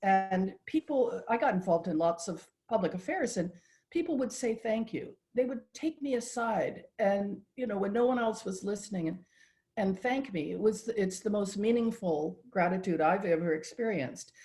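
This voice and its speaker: Lively in intonation, a somewhat breathy woman with an American accent and a dark, mellow tone speaks at a moderate pace. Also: medium pitch for a woman. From United States. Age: 70s. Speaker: patient advocate. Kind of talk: interview conversation.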